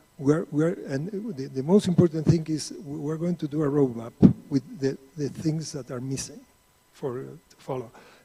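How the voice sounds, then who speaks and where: A man speaks in a dark, mellow tone that is somewhat breathy, with ordinary pitch variation. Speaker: energy finance consultant. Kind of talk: panel discussion. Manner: halting, many repetitions.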